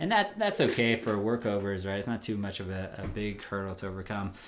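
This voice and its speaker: This man has an unremarkable speaking voice, talking at a fairly quick pace with fairly even intonation. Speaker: oil and gas operations co-host. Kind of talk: casual conversational podcast chat.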